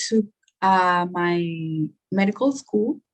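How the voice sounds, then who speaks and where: In a Spanish accent, a woman speaks at a very slow pace. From Guatemala, Guatemala City. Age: 20s. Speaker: nursing student. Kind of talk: interview. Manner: hesitant, many fillers.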